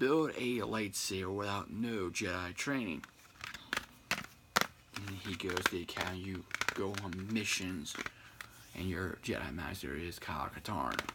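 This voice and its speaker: Soft-spoken and very deep and low in pitch, a man talks at a fairly slow pace with long, frequent pauses and ordinary pitch variation over noticeable background noise. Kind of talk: ASMR-style casual talk to camera about video games. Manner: quiet, soft-spoken.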